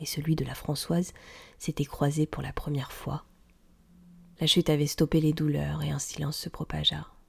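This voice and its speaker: A woman speaks at a moderate pace. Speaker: audiobook reader. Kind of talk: tale reading, audiobook narration.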